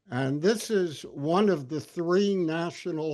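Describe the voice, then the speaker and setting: Audible room echo surrounds a man's fairly high voice. He talks at a very slow pace. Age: 80s+. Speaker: professor. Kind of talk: lecture. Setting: video call. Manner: halting.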